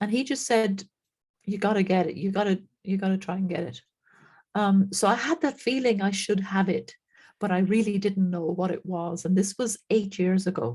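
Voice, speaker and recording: With an Irish accent, a woman talks at a moderate pace in a medium-pitched, somewhat breathy voice with ordinary pitch variation. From Ireland. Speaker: frequency therapy practitioner. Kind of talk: interview.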